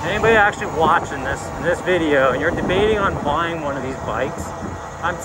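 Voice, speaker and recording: Speech at a fairly quick pace comes through loud background noise. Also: man. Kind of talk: casual vlog chat. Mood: relaxed, enthusiastic. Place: bicycle. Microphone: phone near.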